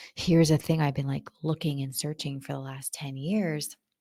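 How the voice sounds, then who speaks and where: A woman's very deep, low voice, dark, mellow and somewhat breathy, with ordinary pitch variation and a dry, close sound with no echo. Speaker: podcast host, marketing strategist. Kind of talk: solo podcast monologue. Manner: casual, conversational.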